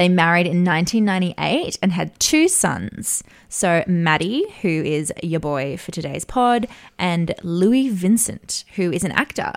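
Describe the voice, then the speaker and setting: With a normal speaking voice, a woman talks fairly slowly at a fairly low pitch, her intonation lively. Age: 40s. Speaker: podcast co-host, media advertising worker. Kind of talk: casual chat.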